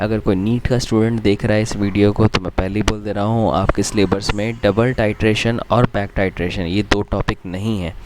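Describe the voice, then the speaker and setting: A man talks at a moderate pace in a fairly low pitch with monotone, flat intonation. There is noticeable background noise. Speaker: chemistry teacher. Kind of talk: lecture. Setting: recording from a different place. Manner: casual.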